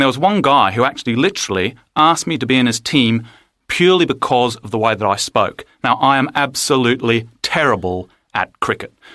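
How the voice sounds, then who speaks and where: A man with an Australian accent speaks at a medium pitch, his tone bright and sharp and his intonation lively. The recording is very clean and dry, close with no echo and a silent background. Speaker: interviewee. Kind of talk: personal account.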